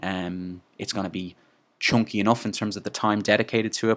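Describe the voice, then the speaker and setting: On a very clean recording with a silent background, a man speaks at a fairly quick pace with fairly even intonation. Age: 20s. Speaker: podcast host and movement coach. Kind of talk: solo monologue podcast. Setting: sitting alone talking. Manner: casual, frequent filler words and restarts.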